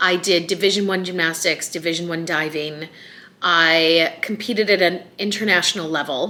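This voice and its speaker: A woman with a Chicago accent and a fairly low pitch. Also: fairly even intonation, moderate pace. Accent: Chicago American. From US Midwest, Chicago. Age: 40s. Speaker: vlogger. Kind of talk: casual vlog talk.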